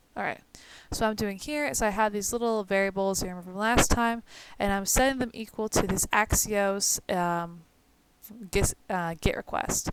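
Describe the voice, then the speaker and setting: A woman at a medium pitch talks at a moderate pace with ordinary pitch variation. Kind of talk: screen-recorded coding tutorial. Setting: home, recording at night.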